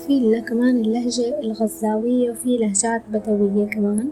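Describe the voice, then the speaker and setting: A woman speaks at a fairly slow pace in a fairly high voice. Her intonation stays fairly even. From Syria (coastal). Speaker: YouTuber, language content creator. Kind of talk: educational vlog.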